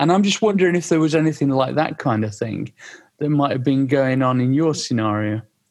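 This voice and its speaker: In an English accent, a man talks at a fairly quick pace, fairly high in pitch with lively intonation. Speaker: podcast host. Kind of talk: casual interview chat. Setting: studio.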